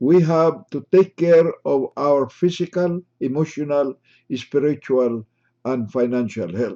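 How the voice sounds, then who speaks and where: At a very slow pace, a man with a fairly high pitch and a dark, mellow tone speaks with ordinary pitch variation in a dry, close sound with no echo. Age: 80s+. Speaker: retired surgeon giving health talks. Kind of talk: health lecture. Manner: formal.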